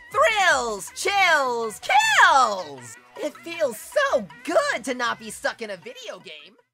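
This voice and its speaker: The voice is high-pitched and speaks at a very slow pace. Faint music plays in the background. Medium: audio drama. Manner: manic, gleeful.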